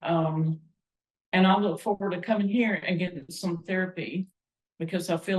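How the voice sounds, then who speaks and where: A woman speaks in a Southern US accent, her pitch fairly low and her intonation fairly even. Her voice is somewhat breathy. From North Carolina. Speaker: music teacher and choir member. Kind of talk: casual chat.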